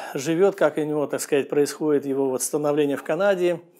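Over a quiet background, a man speaks very fast at a fairly high pitch with fairly even intonation. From Russia. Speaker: real estate agent; immigrant vlogger answering questions. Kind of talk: vlog monologue. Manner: hesitant, filler-heavy. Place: studio. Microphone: lapel.

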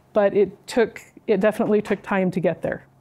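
A woman speaks at a moderate pace in a dark, mellow tone. Her intonation stays fairly even. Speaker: university department administrator; speaker. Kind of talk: personal talk to students. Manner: hesitant. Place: classroom.

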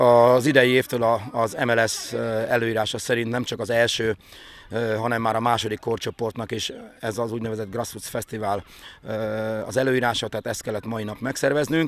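Monotone, flat delivery at a moderate pace, in a dry sound with no echo. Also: man. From Hungary. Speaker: youth football organizer. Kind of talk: interview statement. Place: open country. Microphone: handheld.

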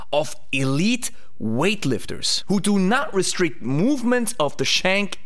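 This is a man's voice. His pitch swings very widely. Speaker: fitness coach. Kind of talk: educational commentary. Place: studio. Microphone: studio mic.

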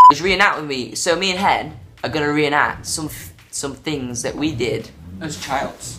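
Clear background music accompanies the recording. The man talks at a fairly slow pace. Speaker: vlogger. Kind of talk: casual vlog chat. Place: home room. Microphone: phone near.

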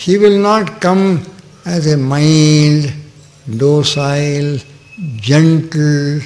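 The pitch of this man's voice varies in an ordinary way. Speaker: spiritual teacher. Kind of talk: sermon. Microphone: podium.

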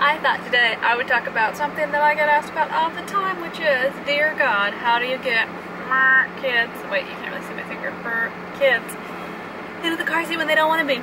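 A fairly quick pace, dry sound with no echo, and noticeable background noise. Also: woman. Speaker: parent vlogger. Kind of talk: casual vlog chat. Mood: calm, reflective. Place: car. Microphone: phone near.

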